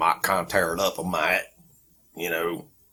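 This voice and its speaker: A man's raspy, put-on character voice, very deep and low in pitch, at a moderate pace. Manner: playful, exaggerated.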